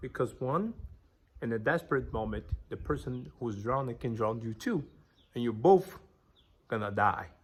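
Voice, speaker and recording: With a strong non-native accent, a man speaks at a medium pitch and a moderate pace. His voice is somewhat breathy, with lively intonation. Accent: thick foreign. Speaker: business vlogger. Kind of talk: motivational talk to camera.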